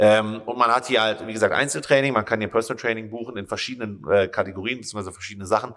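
Over a quiet background, a man talks at a very fast pace in a fairly low pitch, with a bright, sharp tone and fairly even intonation. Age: 20s. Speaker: personal trainer. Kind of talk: casual chat. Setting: small fitness studio room.

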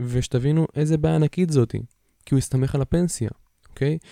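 This man's voice has a dark, mellow tone set at a fairly high pitch. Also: dry, close sound with no echo. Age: 20s. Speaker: podcast host. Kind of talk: casual monologue. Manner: hesitant, many fillers.

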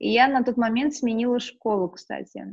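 Her intonation fairly even, the woman talks in a plain, everyday voice. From Russia, Moscow region. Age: 20s. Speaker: lifestyle blogger. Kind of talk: casual interview chat. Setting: online call.

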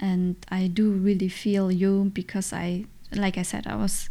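A woman with a German accent, a dark, mellow tone, and medium pitch, at a moderate pace with monotone, flat intonation, on a very clean recording with a silent background. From Germany. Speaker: podcast host, mother. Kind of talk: solo podcast monologue. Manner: hesitant, frequent fillers.

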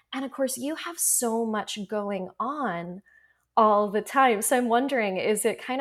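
Music plays in the background as a woman with a North American accent speaks at a moderate pace with ordinary pitch variation. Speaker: podcast host and author. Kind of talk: casual interview. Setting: remote call across time zones. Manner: calm, relaxed.

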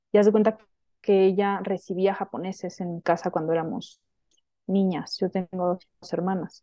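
A woman of medium pitch at a moderate pace, her intonation monotone and flat. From Sonora, northern Mexico (Hermosillo). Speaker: women's spiritual teacher. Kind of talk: casual interview chat.

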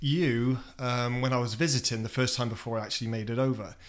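A man with a British accent, medium pitch, ordinary pitch variation and a fairly quick pace. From England. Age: 40s. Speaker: guest, expat DJ. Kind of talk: casual interview chat. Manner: candid, swearing, humorous.

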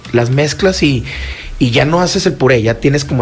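Amid noticeable background noise, a man talks at a fairly quick pace with very wide pitch swings. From Mexico, Torreón (Coahuila). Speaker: chef. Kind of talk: radio interview. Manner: halting, many fillers.

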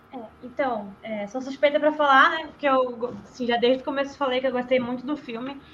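Against noticeable background noise, a high-pitched woman talks at a fairly quick pace with fairly even intonation and big swings in loudness. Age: 20s. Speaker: podcast guest, film commentator. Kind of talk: casual chat.

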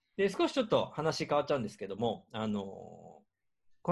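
A man speaks at a fairly high pitch, his voice swinging very widely up and down. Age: 50s. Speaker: podcast host and organizer. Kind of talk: casual chat.

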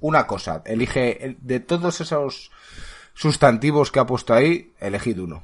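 A man with vocal fry and big swings in loudness talks at a moderate pace against a quiet background. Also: medium pitch for a man, lively intonation. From Spain. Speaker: podcast host. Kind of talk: casual chat.

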